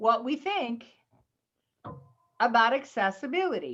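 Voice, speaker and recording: With music in the background, a woman in a Southern US accent speaks at a fairly slow pace, her fairly high pitch moving in very wide swings. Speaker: computer class teacher. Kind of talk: tutorial.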